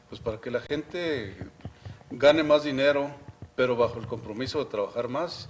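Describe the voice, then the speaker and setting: A man speaks fairly quickly at a medium pitch with ordinary pitch variation. Background noise is noticeable. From Mexico, Chihuahua. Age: 60s. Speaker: university official and economics commentator. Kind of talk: TV interview.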